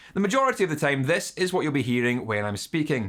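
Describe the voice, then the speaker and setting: Speaking with a Scottish accent, a man's voice sits at a fairly high pitch. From Scotland. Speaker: YouTube guitar channel host. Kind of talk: scripted narration. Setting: home studio.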